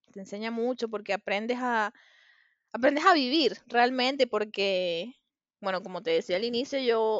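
Her Venezuelan accent comes through as a woman talks at a moderate pace. Her pitch is fairly high and her intonation lively. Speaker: podcast co-host. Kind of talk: casual chat.

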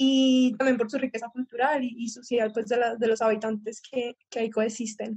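A woman's fairly high, monotone, flat delivery at a moderate pace with hardly any pauses. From Colombia. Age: young. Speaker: student climate activist. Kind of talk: panel discussion. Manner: halting, many repetitions.

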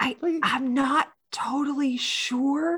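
A female-sounding voice whispers. It is a put-on character voice. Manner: stage whisper.

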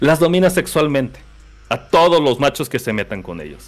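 Speaking at a fairly quick pace, a man with a central Mexican accent talks with vocal fry. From Mexico, Querétaro. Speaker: podcast guest, anime and manga fan. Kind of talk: casual chat.

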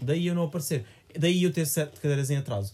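Talking at a very fast pace, a man sounds somewhat breathy, with a dark, mellow tone. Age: 20s. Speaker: podcast co-host. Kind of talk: casual chat.

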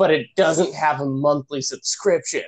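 Using a normal speaking voice, a man talks at a moderate pace with a fairly high pitch and fairly even intonation. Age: 20s. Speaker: sketch comedian, podcast co-host. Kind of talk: casual chat. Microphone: connection cutting out.

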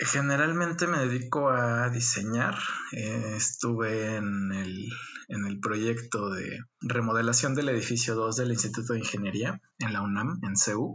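At a fairly slow pace, the speaker uses a bright, sharp tone with a Mexican accent. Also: man. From Mexico, Guadalajara, Jalisco. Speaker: architect. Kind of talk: interview. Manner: halting, with frequent repetitions.

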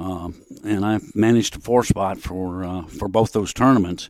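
A man's fairly low-pitched voice comes through a very clean recording with a silent background. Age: 70s. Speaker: golf professional and instructor. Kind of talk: casual interview, storytelling.

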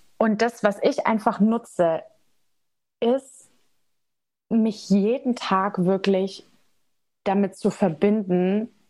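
A woman speaks at a very slow pace. Her voice sits at a medium pitch with a dark, mellow tone. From Germany, Nuremberg (Franconia). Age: 20s. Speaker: energy healer. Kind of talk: casual interview chat.

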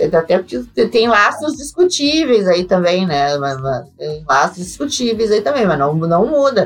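Noticeable background noise sits behind a woman who speaks in a southern Brazilian accent with very wide pitch swings. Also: medium pitch for a woman. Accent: southern Brazilian (gaúcho) Portuguese. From Brazil, Rio Grande do Sul. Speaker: accountant and crypto tax expert. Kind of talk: interview. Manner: hesitant, many fillers.

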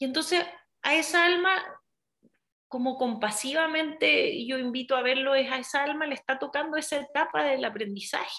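A woman speaks in a high, raised, projected voice with a bright, sharp tone. Her pitch varies in an ordinary way, and her pace is moderate. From Chile. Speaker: hypnotherapist. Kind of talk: interview.

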